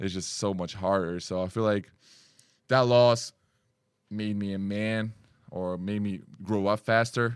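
Over a silent background in a very clean recording, a man with a Lithuanian accent speaks in a very deep, low pitch with fairly even intonation. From Lithuania, Kaunas. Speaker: basketball player. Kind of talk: interview. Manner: halting.

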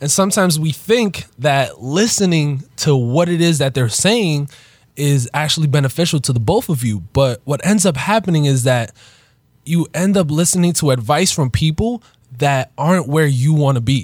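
Somewhat breathy and fairly high-pitched, a man speaks at a moderate pace with lively intonation and very even loudness. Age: 20s. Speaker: podcast co-host, entrepreneur. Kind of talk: casual chat. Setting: studio.

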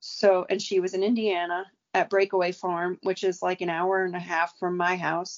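With an American accent, a woman speaks at a medium pitch. Her pace is moderate and her intonation is monotone and flat. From New York, Staten Island. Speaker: racehorse trainer. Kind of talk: casual chat.

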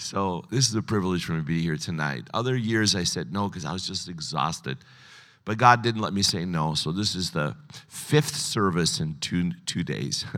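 A man with a very deep, low pitch and a bright, sharp tone speaks with vocal fry and very wide pitch swings. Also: moderate pace. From United States, child of immigrants. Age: 60s. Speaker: pastor. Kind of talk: sermon. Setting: stage with audience. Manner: casual, humorous.

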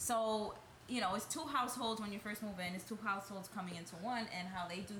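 Noticeable background noise sits under a woman speaking at a fairly quick pace, medium in pitch with ordinary pitch variation. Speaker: nursing student and wife. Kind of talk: casual chat.

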